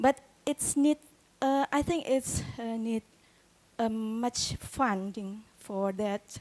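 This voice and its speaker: The speaker, in an Indonesian accent, goes at a very slow pace with long, frequent pauses and a dry, close sound with no echo. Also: woman, fairly high pitch for a woman, ordinary pitch variation. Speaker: doctoral student asking a question. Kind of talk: audience question.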